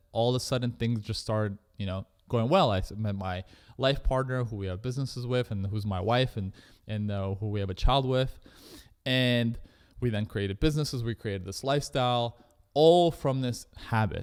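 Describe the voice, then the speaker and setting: Speaking at a fairly quick pace with a Canadian accent, a man at medium pitch shows ordinary pitch variation in a very clean recording with a silent background. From Canada. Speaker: entrepreneur. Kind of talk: interview. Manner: fast.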